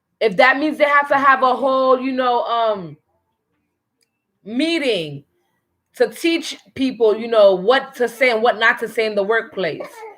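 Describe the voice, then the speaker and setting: Pitched high, a woman speaks at a fairly slow pace with lively intonation. She leaves long, frequent pauses. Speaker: family show host. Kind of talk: casual chat. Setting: at home. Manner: stutters at times.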